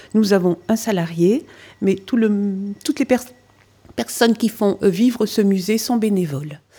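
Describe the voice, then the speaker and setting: Somewhat breathy and dark, mellow in tone, a woman speaks at a medium pitch and a fairly slow pace with ordinary pitch variation. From French Flanders (Nord). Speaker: museum association president, former local councillor. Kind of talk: interview explanation.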